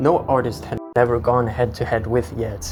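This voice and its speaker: A man with a medium-pitched voice speaks at a fairly slow pace while music plays in the background. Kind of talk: improvised commentary while walking. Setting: outdoors. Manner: somewhat shaky.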